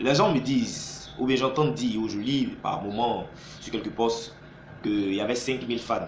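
A man is speaking. Light background noise and audible room echo are present. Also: ordinary pitch variation, fairly slow pace. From Côte d'Ivoire. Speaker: YouTube commentator; video blogger. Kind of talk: vlog monologue. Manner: animated. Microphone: phone near.

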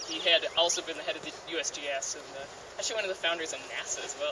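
Someone talks at a very fast pace with noticeable background noise. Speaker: park hike guide. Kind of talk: guided tour commentary. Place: forest. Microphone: camera far.

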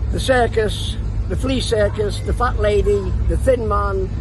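A man's voice with a dry sound and no echo, amid noticeable background noise. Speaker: travelling fair showman. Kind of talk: interview answer. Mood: warm, reminiscing. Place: open country.

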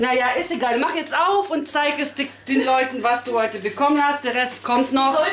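A woman speaks at a high pitch and moderate pace with hardly any pauses, very even loudness and ordinary pitch variation, over light background noise and audible room echo. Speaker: family vlogger. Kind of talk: casual vlog narration. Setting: at home. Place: kitchen.

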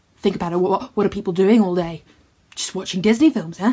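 Somewhat breathy female voice, its pitch varying in an ordinary way. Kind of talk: comic character monologue. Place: home room. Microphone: phone near.

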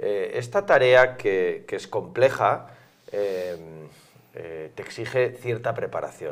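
A man talks at a very slow pace. His loudness rises and falls in big swings. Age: middle-aged. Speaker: interviewer. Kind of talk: interview. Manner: hesitant, many fillers. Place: studio. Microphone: lapel.

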